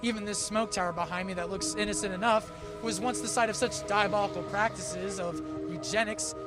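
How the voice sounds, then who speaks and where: A man speaks fairly quickly as music plays behind him. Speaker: student broadcast news reporter and anchor. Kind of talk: TV news reporting.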